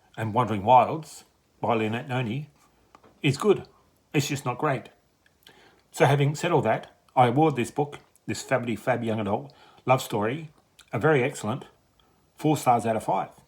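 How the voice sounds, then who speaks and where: Somewhat breathy, a man of medium pitch speaks at a moderate pace with ordinary pitch variation and long, frequent pauses. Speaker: book reviewer. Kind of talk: book review vlog.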